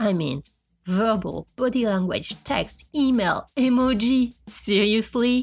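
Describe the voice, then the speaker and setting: Somewhat breathy, the voice moves at a very slow pace with ordinary pitch variation. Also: woman, fairly high pitch for a woman. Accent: French. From France. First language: French. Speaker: podcast host. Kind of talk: monologue.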